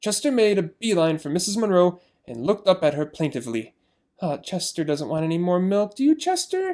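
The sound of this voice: Someone reads in an unforced voice, and the background is quiet.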